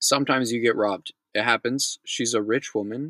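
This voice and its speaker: In a bright, sharp tone, a man with an American accent speaks at a medium pitch with fairly even intonation, in a dry, close sound with no echo. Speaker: news recap host. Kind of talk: news reading with commentary. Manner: fast.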